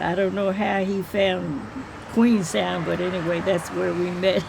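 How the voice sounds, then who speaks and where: Noticeable background noise sits behind a woman with an American accent. She speaks at a medium pitch with ordinary pitch variation. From Maryland, US. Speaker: oral history interviewee. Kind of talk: oral history interview. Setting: at home.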